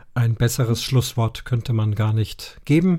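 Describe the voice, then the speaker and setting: Here a man speaks at medium pitch and a moderate pace, with ordinary pitch variation. His tone is dark and mellow, and somewhat breathy. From Munich, Bavaria. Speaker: podcast host. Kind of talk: casual podcast chat.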